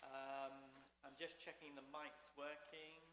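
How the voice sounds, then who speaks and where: Speaking with an English accent, a man has a bright, sharp tone and a fairly high pitch. He goes at a moderate pace amid audible room echo. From England. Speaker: seminary dean and president. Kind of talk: lecture.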